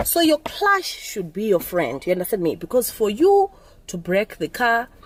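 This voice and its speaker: A woman's pitch swings very widely as she talks at a moderate speed over noticeable background noise. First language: Zulu or other Nguni language. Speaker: driving instructor vlogger. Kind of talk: tutorial. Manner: halting, self-correcting.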